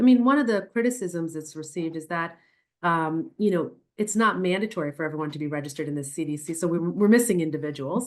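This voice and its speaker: A woman with an American accent speaks at a very fast pace and a fairly low pitch. Her intonation is lively, and the background is quiet. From New York City, the Bronx. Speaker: neurologist. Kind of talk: Q&A answers in a webinar talk.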